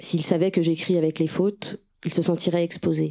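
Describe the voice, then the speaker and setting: A woman speaks at a moderate pace in a fairly low pitch, with a dark, mellow tone. Her intonation stays monotone and flat. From Russia (Moscow), then France in childhood. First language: Russian (speaking French). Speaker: writer and translator. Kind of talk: reading aloud.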